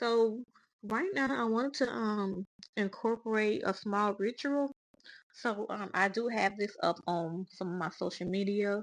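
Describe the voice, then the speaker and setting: Speaking with a Southern US accent, a woman talks at a fairly slow pace in a fairly high pitch with ordinary pitch variation. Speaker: spiritual podcast host. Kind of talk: casual monologue. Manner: halting, with fillers.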